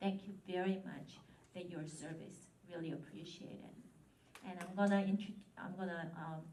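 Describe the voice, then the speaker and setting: With fairly even intonation and long, frequent pauses, a woman speaks at a moderate pace and a fairly low pitch, her loudness swinging widely amid audible room echo. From Japan, Korean family. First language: Korean. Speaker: local politician. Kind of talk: ceremony speech.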